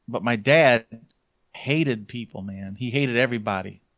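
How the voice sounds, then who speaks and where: A man speaks with a Midwestern American accent. His pitch variation is ordinary. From southwest Michigan, US. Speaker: blogger and podcaster. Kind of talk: casual chat.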